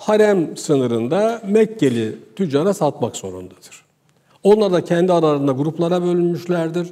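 Against a quiet background, a man talks at a moderate pace with a high pitch and lively intonation. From Turkey, Ağrı (eastern Anatolia); Turkey. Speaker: economics lecturer. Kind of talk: lecture. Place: studio. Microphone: lapel.

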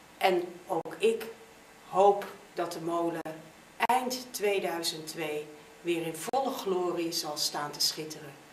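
Amid audible room echo and light background noise, a woman talks at a very slow pace. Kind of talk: interview statement. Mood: warm, hopeful. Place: office. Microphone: camera far.

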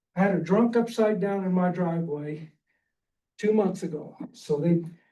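In a room with audible echo, a man speaks in a high voice with a dark, mellow tone and ordinary pitch variation. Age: 60s. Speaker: public commenter. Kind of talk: public comment at hearing. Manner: informal, conversational.

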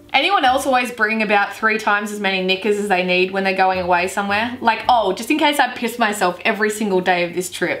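Speaking in an Australian accent, a woman talks very fast with hardly any pauses. Her tone is upbeat, and her pitch varies in an ordinary way. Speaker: YouTuber. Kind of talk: casual talk to camera. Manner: upbeat, joking. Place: home room.

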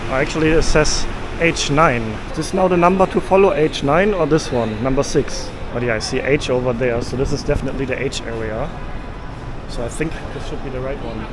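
A man with a German accent speaks at a fairly quick pace in a fairly high pitch, with ordinary pitch variation. The sound is dry with no echo, over noticeable background noise. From Germany. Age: 30s. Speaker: travel vlogger. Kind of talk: travel vlog narration. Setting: on location, outdoors and traveling. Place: station. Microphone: phone near.

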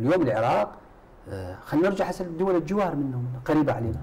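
A man speaks with lively intonation. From Iraq. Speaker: politician from a parliamentary coalition. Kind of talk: televised political debate. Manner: animated. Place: studio.

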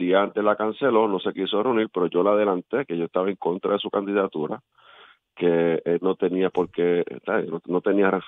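A man with a normal speaking voice, a fairly low pitch, ordinary pitch variation and a moderate pace. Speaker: politician. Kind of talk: radio interview. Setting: phone call.

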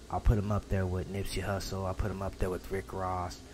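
Over noticeable background noise, a man with a very deep, low voice speaks at a fairly quick pace with fairly even intonation. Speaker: reaction video creator. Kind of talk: casual vlog chat. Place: home room. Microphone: studio mic.

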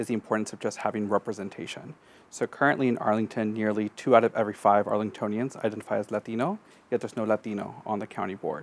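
This man's pitch is fairly low. He speaks at a very fast pace with fairly even intonation. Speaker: election candidate. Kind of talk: interview answer. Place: studio. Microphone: lapel.

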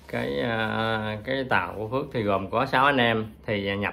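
Ordinary pitch variation shapes a bright, sharp tone. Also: man. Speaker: vlogger recounting past experience. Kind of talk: casual vlog storytelling. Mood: calm reminiscent. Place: home room. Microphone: phone near.

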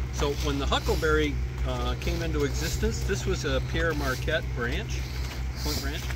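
The speech has long, frequent pauses and a dry sound with no echo. Loud background noise runs underneath. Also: man, moderate pace. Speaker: railfan visitor. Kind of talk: casual explanatory chat. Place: open country. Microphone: phone near.

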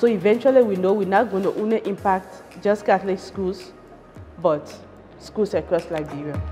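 A woman's medium-pitched voice at a moderate pace, with ordinary pitch variation and music in the background. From Liberia. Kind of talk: interview answer.

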